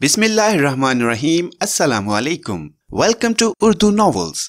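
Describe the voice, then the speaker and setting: Very wide pitch swings from a male speaker, captured in a very clean recording against a silent background. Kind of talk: horror story audiobook narration. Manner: formal, ornate Urdu-laden narration with dramatic pauses before eerie turns.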